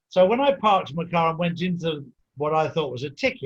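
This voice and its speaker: This man talks at a moderate pace with an English accent. His pitch sits high for a man. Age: 60s. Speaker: podcast host. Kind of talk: interview. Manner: halting.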